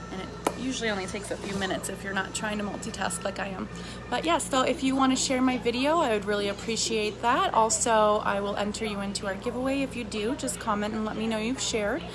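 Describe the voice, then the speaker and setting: With ordinary pitch variation, a woman speaks very fast at a fairly high pitch, amid audible room echo and noticeable background noise. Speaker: makeup seller vlogger. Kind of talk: casual live makeup demo.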